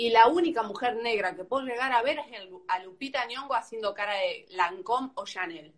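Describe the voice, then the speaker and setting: A woman's unremarkable speaking voice, fairly high-pitched, at a moderate pace, with lively intonation and big swings in loudness. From Argentina. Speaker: activist debating the host. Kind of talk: heated debate.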